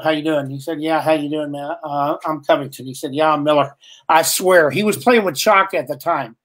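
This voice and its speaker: Speaking at a fairly quick pace in an American accent, a woman with a very deep, low pitch sounds animated, with ordinary pitch variation. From West Texas. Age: 60s. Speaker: drummer and keyboardist. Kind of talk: interview. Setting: live video call.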